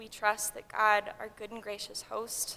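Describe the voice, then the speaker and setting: Her pitch is fairly high, and her tone is bright and sharp. The woman speaks at a moderate pace. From Hawaii, Honolulu. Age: 20s. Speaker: pre-seminary college student. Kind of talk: chapel talk. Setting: college chapel.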